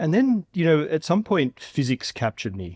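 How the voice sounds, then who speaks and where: On a very clean recording with a silent background and a dry, close sound with no echo, a man speaks at a moderate pace in an Australian accent. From Australia, Melbourne outer suburbs. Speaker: physics professor and science show host. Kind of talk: podcast interview.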